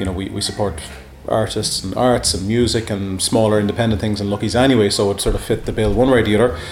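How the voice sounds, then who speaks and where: A man at a very fast pace, fairly low in pitch, with fairly even intonation and noticeable background noise. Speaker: bar co-owner. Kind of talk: casual interview.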